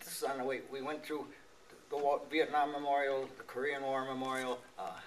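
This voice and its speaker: At a moderate pace, a man speaks with an American accent and a fairly high pitch. His intonation is monotone and flat, with noticeable background noise behind him. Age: 80s+. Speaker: war veteran. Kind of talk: testimony. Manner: halting.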